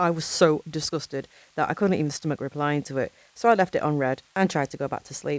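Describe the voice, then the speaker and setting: A woman's fairly quick speech with a British accent, the sound dry and close with no echo. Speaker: horror narrator. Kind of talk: horror story narration.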